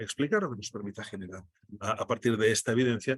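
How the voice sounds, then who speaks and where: The sound is dry and close with no echo. A man with a Catalan accent speaks at a very fast pace. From Catalonia, Spain. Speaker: data journalist. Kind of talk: online workshop presentation. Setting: video call from airport restaurant. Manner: halting, many repetitions.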